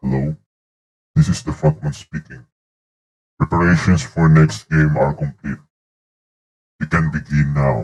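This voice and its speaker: A man puts on a character voice with a very deep, low pitch and fairly even intonation. He moves at a moderate pace with long, frequent pauses. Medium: tutorial demo. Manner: calm, menacing.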